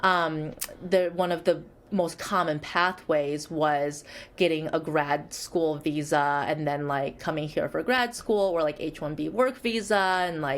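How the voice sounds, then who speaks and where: In a Chinese accent, the speaker talks at a fairly slow pace with ordinary pitch variation, recorded very cleanly against a silent background. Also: woman, very deep, low pitch for a woman. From born in Shanghai, grew up in Michigan, US. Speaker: psychologist. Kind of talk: interview.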